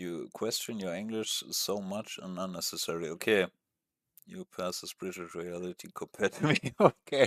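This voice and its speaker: A man with a non-native accent at a moderate pace, big swings in loudness, and a dry, close sound with no echo. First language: not English. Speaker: gaming streamer. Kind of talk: casual live-stream chat. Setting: live stream with webcam. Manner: hesitant, many fillers.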